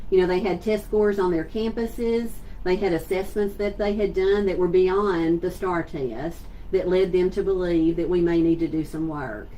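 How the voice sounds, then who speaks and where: The voice has a dark, mellow tone and moves at a moderate pace. Audible room echo is present. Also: woman, medium pitch for a woman, ordinary pitch variation. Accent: Southeast Texas. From Southeast Texas. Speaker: school superintendent. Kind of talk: virtual town hall address. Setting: livestream on social media. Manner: conversational.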